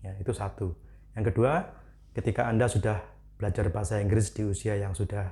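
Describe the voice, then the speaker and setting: In a Javanese accent, the speaker talks at a moderate pace with a dark, mellow tone and vocal fry. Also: man. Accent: Javanese accent when speaking English. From Indonesia, Malang, East Java. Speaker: English teacher. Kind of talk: educational talk. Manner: casual, conversational.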